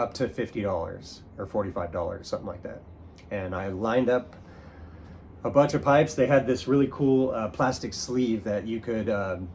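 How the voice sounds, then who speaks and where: A man speaks at a moderate pace in a somewhat breathy voice, with ordinary pitch variation. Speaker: pipe smoking YouTuber. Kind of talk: casual show-and-tell monologue. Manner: halting, many fillers.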